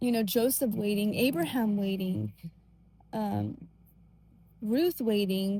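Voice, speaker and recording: A woman speaks at a medium pitch and a fairly slow pace. Her tone is dark and mellow, and somewhat breathy. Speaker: faith vlogger. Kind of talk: casual monologue. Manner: gentle, soft-spoken; hesitant, many fillers.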